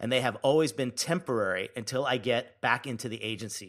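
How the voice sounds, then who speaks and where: In an unremarkable speaking voice, a man talks at a medium pitch and a moderate pace with lively intonation. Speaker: podcast co-host. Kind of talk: casual chat.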